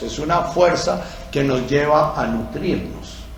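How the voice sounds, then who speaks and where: A man's fairly high voice at a very slow pace, fairly even in intonation, with noticeable background noise and audible room echo. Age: old. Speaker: psychiatrist and former priest giving talks. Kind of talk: lecture. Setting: talk with microphone and audience. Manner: hesitant fillers.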